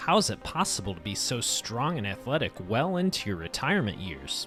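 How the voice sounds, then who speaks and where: A man speaks with very wide swings in pitch while music plays in the background. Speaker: fitness video host. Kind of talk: documentary narration.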